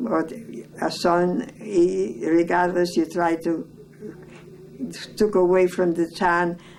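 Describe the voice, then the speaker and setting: A woman's fairly low voice at a very slow pace, over noticeable background noise. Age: 90s. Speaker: elderly family member interviewed about family history. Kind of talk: oral history interview. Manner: halting.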